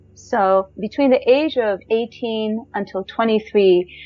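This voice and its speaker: This is an ordinary speaking voice with an American accent and ordinary pitch variation. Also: woman. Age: 50s. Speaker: jazz singer. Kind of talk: personal storytelling.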